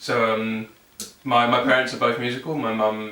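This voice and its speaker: The speaker has a southern English accent and a monotone, flat intonation. Noticeable background noise and audible room echo fill the recording. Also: man. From southern England, Surrey. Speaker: electronic musician. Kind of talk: casual interview.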